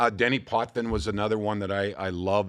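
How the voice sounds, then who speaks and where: This man has a plain, everyday voice, fairly low in pitch, with fairly even intonation. He talks at a fairly quick pace on a very clean recording with a silent background. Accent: Canadian. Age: 60s. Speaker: former hockey player and broadcaster. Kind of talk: podcast interview. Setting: studio.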